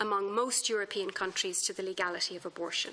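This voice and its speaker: With an Irish accent, a woman talks at a fairly quick pace in a bright, sharp tone with ordinary pitch variation. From Ireland. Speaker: human rights lawyer, expert witness. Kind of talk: formal testimony to parliamentary committee. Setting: parliamentary committee hearing. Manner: formal.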